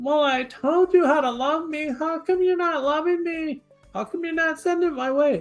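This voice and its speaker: A whiny, high-pitched put-on character voice at a moderate pace, with faint music in the background. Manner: complaining, whiny.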